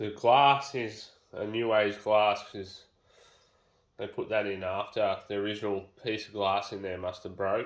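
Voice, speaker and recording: With an Australian accent, a man talks fairly slowly at a fairly low pitch with fairly even intonation. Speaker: home renovator. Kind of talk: casual talk to camera.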